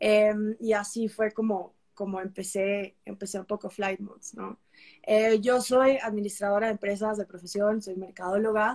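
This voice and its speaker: At a fairly slow pace, a woman with a medium pitch speaks in a monotone, flat way, her loudness swinging widely. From Peru. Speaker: travel content creator. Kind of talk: casual interview.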